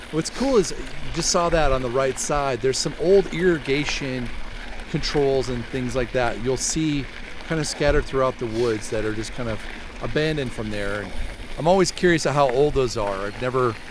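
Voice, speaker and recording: A man talks in a relaxed tone at a medium pitch and a moderate pace, with ordinary pitch variation. There is noticeable background noise. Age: 50s. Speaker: recreational mountain biker. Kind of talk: casual vlog narration. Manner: relaxed, casual.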